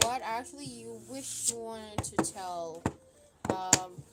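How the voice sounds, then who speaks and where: A woman with a non-native accent speaks with very wide pitch swings over noticeable background noise. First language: not English. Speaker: tarot card reader. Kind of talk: live stream tarot reading. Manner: halting, many fillers.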